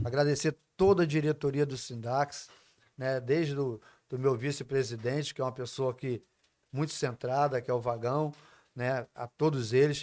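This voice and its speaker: Here a man talks at a moderate pace in an unremarkable speaking voice. His pitch sits in the medium range, and his intonation is fairly even. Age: 60s. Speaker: union leader. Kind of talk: casual interview chat. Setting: recorded at host's home.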